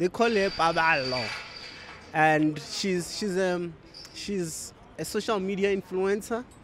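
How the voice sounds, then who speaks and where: Amid noticeable background noise, the speaker goes at a very slow pace with long, frequent pauses. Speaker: podcast host. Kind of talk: casual interview chat. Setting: studio. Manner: animated.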